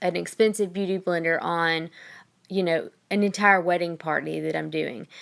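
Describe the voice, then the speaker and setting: In a Southern US accent, a woman with a fairly low pitch talks at a moderate pace with fairly even intonation. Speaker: makeup artist. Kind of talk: makeup tutorial. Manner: casual, frequent ums.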